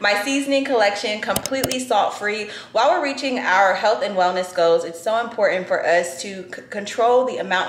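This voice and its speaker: A woman speaks with audible room echo and light background noise around her. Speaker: lifestyle vlogger. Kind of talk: casual vlog chat. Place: kitchen. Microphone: phone near.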